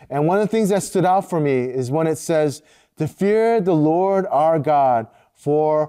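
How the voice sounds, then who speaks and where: A man with an American accent and a dark, mellow tone speaks fairly slowly at a fairly high pitch with lively intonation, in a very clean recording with a silent background. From US, Korean American family. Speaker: devotional podcast host. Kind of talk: devotional talk. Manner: hesitant, many filler words.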